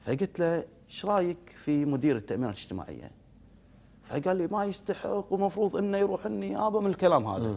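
At a fairly quick pace, a man speaks in a high voice with very wide pitch swings. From Kuwait. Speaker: member of parliament; guest. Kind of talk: TV political interview. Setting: TV studio. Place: studio. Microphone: lapel.

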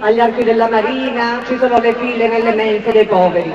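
A woman's high voice at a moderate pace, fairly even in intonation, over noticeable background noise. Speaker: Senate candidate and business owner. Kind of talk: political rally speech. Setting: outdoor stage with audience.

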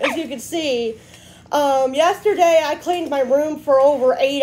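Over light background noise, a woman speaks at a high pitch and a moderate pace with ordinary pitch variation. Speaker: vlogger. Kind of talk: casual vlog chat. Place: home room. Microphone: phone near.

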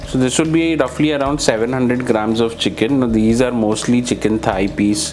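A man at a fairly quick pace with ordinary pitch variation, over faint music in the background. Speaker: home cook vlogger. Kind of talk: casual cooking tutorial. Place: kitchen. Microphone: lapel.

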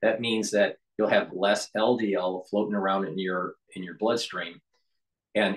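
This is a man with a plain, everyday voice and a fairly low pitch. He talks at a fairly slow pace with fairly even intonation against a quiet background. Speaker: channel host promoting supplements. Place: office. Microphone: phone near.

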